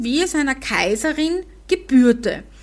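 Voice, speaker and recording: The speaker has a Viennese accent. The pace is very slow. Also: woman. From Vienna, Austria. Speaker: podcast host. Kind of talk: casual chat.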